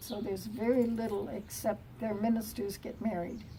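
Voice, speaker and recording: A woman speaks in a somewhat breathy voice with monotone, flat intonation. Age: 80s+. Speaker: elderly woman recalling her childhood. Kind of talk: interview answer.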